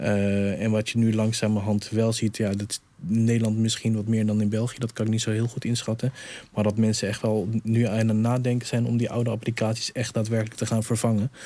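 Speaking at a fairly quick pace, a man keeps a medium pitch, a dark, mellow tone, very even loudness, and flat, monotone intonation. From Netherlands. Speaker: digital innovation coach. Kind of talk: panel discussion.

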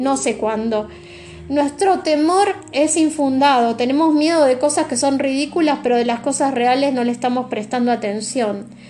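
Ordinary pitch variation in a Rioplatense accent, with noticeable background noise. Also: woman, high pitch for a woman, moderate pace. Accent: Argentine Rioplatense Spanish. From Argentina. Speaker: tarot reader. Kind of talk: tarot reading monologue. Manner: reflective, searching pace.

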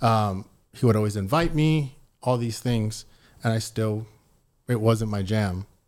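A man with an American accent talks at a medium pitch with fairly even intonation. The recording is very clean, with a silent background. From Texas, San Antonio. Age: 40s. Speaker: fitness and faith lifestyle entrepreneur. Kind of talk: casual chat.

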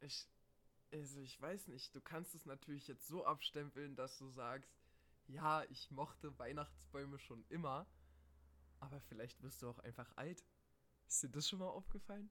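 Vocal fry in a bright, sharp tone, a moderate pace broken by long, frequent pauses, and ordinary pitch variation. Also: man, fairly high pitch for a man. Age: 20s. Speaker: podcast co-host, student. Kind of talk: casual chat.

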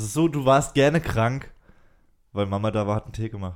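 Very clean and with a silent background, the recording has a man at medium pitch speaking at a fairly quick pace. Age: 20s. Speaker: podcast host. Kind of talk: casual chat. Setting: recorded separately, voice messages.

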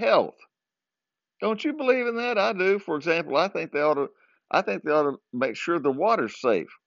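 In a Southern US accent, a man talks at a moderate pace with a high pitch and very wide pitch swings. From US South, southern Arkansas. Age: 60s. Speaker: podcaster. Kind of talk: casual monologue. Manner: chuckles often.

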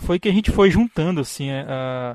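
At a fairly quick pace, a man is speaking. His intonation is lively. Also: dry, close sound with no echo. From Brazil, interior of Amazonas (Tefé). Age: 30s. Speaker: podcaster, biologist with a doctorate. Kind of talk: casual chat.

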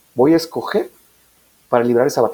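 Lively intonation marks this man's speech. He talks with a northern Mexican accent. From Mexico, Nuevo Laredo, Tamaulipas. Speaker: business coordinator and entrepreneurship adviser. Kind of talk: casual interview chat.

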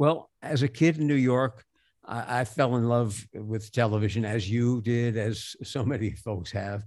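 A man with an unremarkable speaking voice talks at a fairly slow pace and a medium pitch, with ordinary pitch variation. The recording is very clean, the background silent. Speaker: game show announcer. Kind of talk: casual interview conversation.

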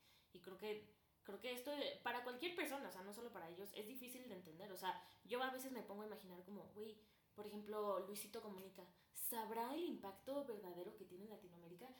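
Amid audible room echo, a woman talks at a very fast pace and fairly high pitch, with ordinary pitch variation. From Mexico, Guanajuato (Celaya). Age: young. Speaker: student podcast co-host. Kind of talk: casual chat.

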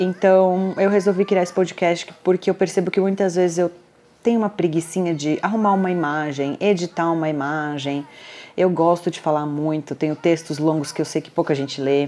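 Fairly low in pitch, a woman talks at a moderate pace in a dark, mellow tone. Her intonation stays fairly even. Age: 40s. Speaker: podcast host, nurse and diabetes blogger. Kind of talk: casual monologue.

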